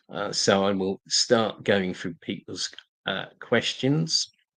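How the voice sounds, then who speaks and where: A man with a London accent, very slow pace, bright, sharp tone, and a dry, close sound with no echo. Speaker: political activist live-streamer. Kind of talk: live stream talk and Q&A. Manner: halting, many fillers and repetitions.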